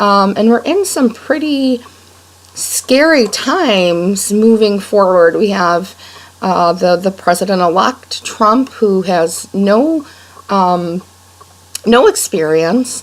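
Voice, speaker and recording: Against noticeable background noise, a woman speaks at a very slow pace with very even loudness. Her medium-pitched voice carries lively intonation. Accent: western New York. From Rochester, New York, US. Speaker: blogger. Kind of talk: personal video blog monologue. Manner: many fillers and repetitions.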